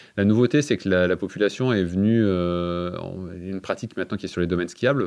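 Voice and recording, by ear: With a low pitch and a slightly mellow tone, a man talks at a fairly quick pace using ordinary pitch variation.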